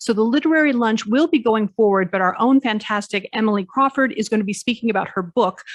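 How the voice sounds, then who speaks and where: Very fast speech with ordinary pitch variation, dry, close sound with no echo and a quiet background. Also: woman. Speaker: law professor and conference organiser. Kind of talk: conference opening announcements.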